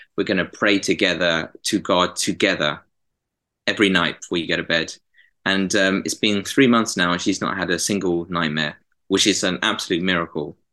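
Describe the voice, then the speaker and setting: A man with a southern English accent, very deep and low in pitch yet bright and sharp in tone, at a moderate pace with fairly even intonation against a quiet background. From southern England. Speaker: graphic designer and prayer ministry leader. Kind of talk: interview.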